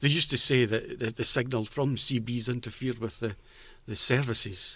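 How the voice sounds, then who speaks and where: In an Edinburgh accent, a bright, sharp tone moves at a fairly quick pace with fairly even intonation. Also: man, medium pitch for a man. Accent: Scottish (Edinburgh). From Edinburgh, Scotland. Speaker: former butcher, CB radio enthusiast. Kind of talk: oral history interview answer.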